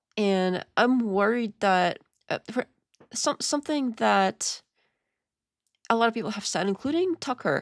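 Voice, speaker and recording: A woman with a non-native accent speaks at a fairly slow pace with lively intonation. The recording is very clean and dry, with a silent background and no echo. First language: not English. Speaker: live-stream reaction host. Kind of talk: live reaction commentary. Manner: casual, halting with restarts.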